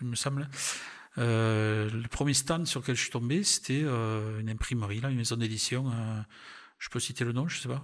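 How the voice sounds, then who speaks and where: A man speaks with a southern French accent at a medium pitch. His intonation stays fairly even. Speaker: retired railway worker and travel photographer. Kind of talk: interview conversation. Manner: hesitant, many fillers.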